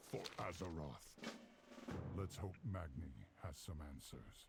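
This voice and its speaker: Over loud background noise, a man puts on a character voice, very deep and low in pitch, at a fairly slow pace. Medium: video game.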